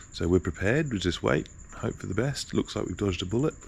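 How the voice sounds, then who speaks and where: The intonation is lively. It belongs to a man with an Australian accent. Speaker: vlogger and tour guide. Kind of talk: casual vlog. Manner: whispering.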